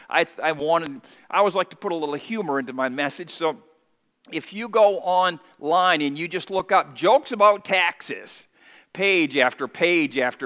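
Against a quiet background, a man speaks with a bright, sharp tone, fairly high pitch and ordinary pitch variation. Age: 50s. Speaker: pastor. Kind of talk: sermon. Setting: church. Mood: warm, lightly humorous. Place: church. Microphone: headset.

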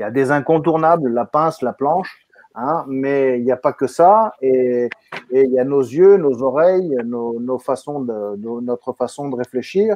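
A man speaking at a fairly slow pace, with ordinary pitch variation. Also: dry sound with no echo. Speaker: webinar moderator. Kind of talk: live online webinar. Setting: video call. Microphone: video call.

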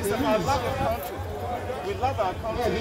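Crowd noise sits in the background as a man speaks. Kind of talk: interview answer. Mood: frustrated, earnest. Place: street. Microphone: phone near.

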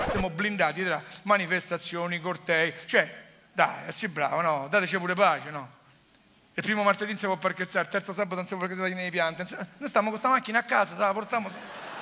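A man's raised, projected voice in a Roman accent, high-pitched with a bright, sharp tone, at a fairly quick pace with fairly even intonation and light background noise. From Rome. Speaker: comedian. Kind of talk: stand-up comedy monologue. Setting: theatre stage. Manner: sarcastic. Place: stage. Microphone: headset.

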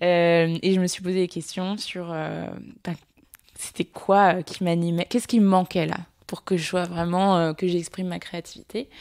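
A woman with a fairly low voice talks at a moderate pace on a very clean recording with a silent background. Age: 20s. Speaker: communications director and entrepreneur. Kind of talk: interview conversation. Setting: at the host's home. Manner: energetic.

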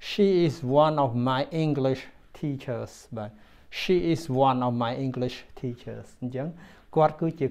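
Ordinary pitch variation marks the way this man speaks. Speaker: language teacher. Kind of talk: tutorial. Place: home room. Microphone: lapel.

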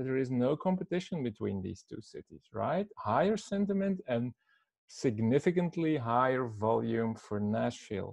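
Very wide pitch swings come at a moderate pace in a dry, close sound with no echo. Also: man, medium pitch for a man. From Belgium (Flanders). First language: Dutch (Flemish), also French. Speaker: destination marketing strategist. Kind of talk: conference presentation.

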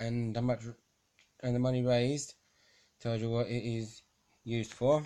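A man of medium pitch talks at a moderate pace in a flat monotone, with long, frequent pauses. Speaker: charity shop volunteer. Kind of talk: casual talk to camera. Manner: stuttering.

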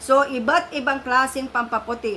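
Over noticeable background noise, a woman with a high-pitched voice speaks in a raised, projected way at a moderate pace. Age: 50s. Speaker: beauty vlogger. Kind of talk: product review vlog. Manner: chatty, friendly.

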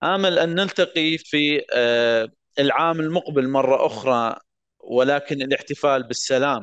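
Fairly slow speech at very even loudness with ordinary pitch variation and a quiet background. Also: man, fairly high pitch for a man. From Iraq, Mosul. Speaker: war survivor and law graduate. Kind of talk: personal testimony speech.

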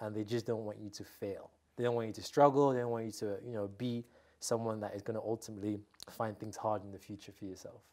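Against a quiet background, a man with a fairly low pitch and a dark, mellow tone talks at a very fast pace in a monotone, flat intonation. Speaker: interviewee. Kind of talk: interview answer. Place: studio. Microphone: lapel.

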